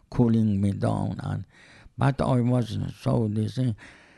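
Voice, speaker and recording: A man with a Persian accent, a fairly low pitch and a dark, mellow tone talks at a very slow pace with lively intonation. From Iran. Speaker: interviewee, host's father. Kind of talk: casual chat. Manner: halting.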